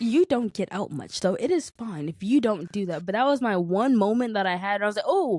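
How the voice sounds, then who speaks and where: A woman speaks at a fairly quick pace in a fairly high, animated voice with lively intonation, the sound dry and close with no echo. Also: hardly any pauses. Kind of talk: casual chat.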